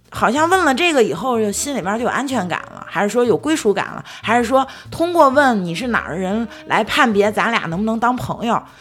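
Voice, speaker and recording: Noticeable background noise sits behind a woman with a fairly high voice. She talks at a fairly quick pace, with very wide pitch swings and hardly any pauses. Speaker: podcast co-host. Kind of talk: casual chat.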